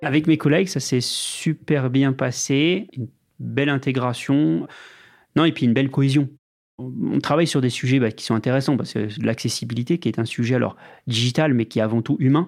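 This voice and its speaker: A man speaks at a medium pitch and a moderate pace in an ordinary speaking voice. The recording is very clean, with a silent background. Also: ordinary pitch variation. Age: 20s. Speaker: digital accessibility lead, blind. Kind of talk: interview testimony.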